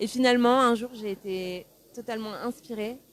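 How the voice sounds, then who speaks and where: This is a woman speaking at a fairly high pitch. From France (Pau). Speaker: singer. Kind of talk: interview. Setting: newspaper café interview. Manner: hesitant, many fillers.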